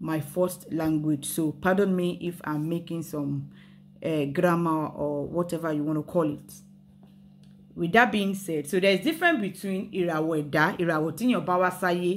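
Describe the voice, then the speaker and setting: A woman's fairly low voice in a Yoruba accent, fairly slow and fairly even in intonation, with music in the background. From Nigeria, Yoruba. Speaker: spirituality and history channel host. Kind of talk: casual explanatory talk mixing Yoruba and English. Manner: hesitant, many fillers and restarts.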